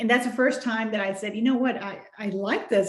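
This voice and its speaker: Fairly high-pitched woman's voice in a monotone, flat delivery. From Mexico. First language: Spanish. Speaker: children's book author. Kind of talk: interview.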